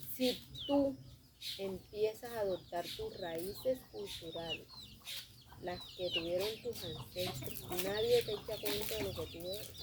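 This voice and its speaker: Speaking at a very slow pace, a woman of medium pitch uses lively intonation. She has a Colombian coastal accent, and noticeable background noise is present. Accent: Colombian coastal (costeño). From Colombian Caribbean coast. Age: 30s. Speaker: theatre group director and manicurist. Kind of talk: interview.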